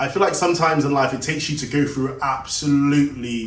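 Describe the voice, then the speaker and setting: There is audible room echo as a man speaks at a moderate pace with a fairly high pitch and fairly even intonation. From Jamaica. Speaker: shoe business owner. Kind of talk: personal vlog monologue. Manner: casual, halting.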